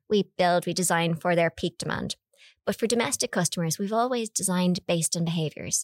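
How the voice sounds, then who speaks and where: In an Irish accent, a woman talks at a fairly quick pace with lively intonation, on a very clean recording with a silent background and a dry, close sound with no echo. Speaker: electricity network manager. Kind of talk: casual chat.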